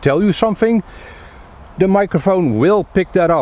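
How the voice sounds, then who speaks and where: A man's voice against noticeable background noise. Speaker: tech reviewer. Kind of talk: product review. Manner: hesitant, many fillers.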